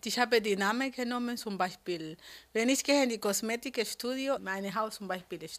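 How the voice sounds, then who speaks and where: A woman with a Spanish accent and ordinary pitch variation, on a very clean recording with a silent background. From Colombia, Cali. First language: Spanish (speaking German). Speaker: beautician. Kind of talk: interview.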